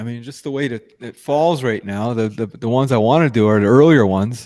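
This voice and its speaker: Talking at a fairly quick pace, a man has a medium pitch and an ordinary speaking voice. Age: 60s. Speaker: podcast host. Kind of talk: casual chat.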